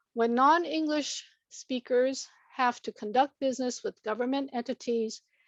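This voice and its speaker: Against a quiet background, with a dry, close sound and no echo, the speaker has a Chinese accent and ordinary pitch variation. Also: woman. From Moses Lake, Washington (emigrated from Hong Kong at five). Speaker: government agency director. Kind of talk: formal presentation. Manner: formal.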